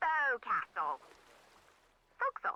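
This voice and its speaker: Someone puts on a character voice with an English accent, extremely high in pitch, at a moderate pace. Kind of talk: uneducated, working-class.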